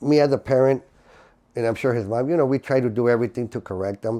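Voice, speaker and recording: There is a quiet background behind a man whose medium-pitched voice has a dark, mellow tone. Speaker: father of the subject. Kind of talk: documentary interview answer. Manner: hesitant, many fillers.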